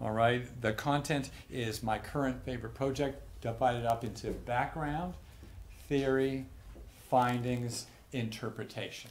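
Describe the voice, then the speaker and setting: Speaking at a fairly slow pace, a man of medium pitch keeps his intonation fairly even, with audible room echo around him. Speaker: physician and researcher. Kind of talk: lecture. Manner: halting with repetitions.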